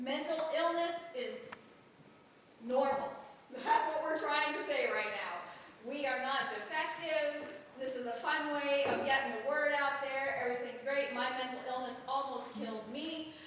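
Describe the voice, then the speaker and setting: Loud and high-pitched, a woman speaks with ordinary pitch variation. Both noticeable background noise and audible room echo come through. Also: fairly slow pace. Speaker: musical director and writer. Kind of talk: speech to live audience. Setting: stage with audience. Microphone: no microphone.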